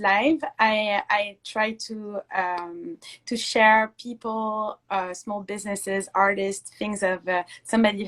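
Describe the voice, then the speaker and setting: A woman in a French accent, fairly high in pitch, speaking at a very slow pace. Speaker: Instagram live interviewer. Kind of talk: interview. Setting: Instagram live video call.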